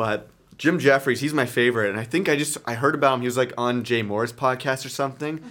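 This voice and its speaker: In a very clean recording with a silent background, a man with a Canadian accent talks at a very fast pace, medium pitch and fairly even intonation. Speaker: podcast host. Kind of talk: casual chat. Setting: home studio with friends. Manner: loud.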